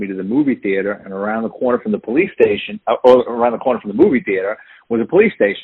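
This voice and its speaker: Talking at a very fast pace, a man with a New York accent uses a medium pitch. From New York City, the Bronx. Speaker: retired police detective and author. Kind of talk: interview. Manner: animated storyteller.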